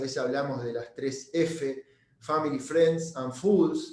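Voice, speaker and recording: A man's fairly high voice, very slow in pace, with ordinary pitch variation. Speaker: real estate broker, webinar speaker. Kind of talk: webinar presentation. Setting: online webinar. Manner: halting, many repetitions and fillers.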